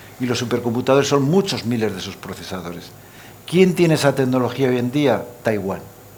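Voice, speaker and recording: A man's medium-pitched voice at a fairly quick pace, with lively intonation, audible room echo and noticeable background noise. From Aragon, Spain. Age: 70s. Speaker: supercomputing center director. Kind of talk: panel discussion. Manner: animated.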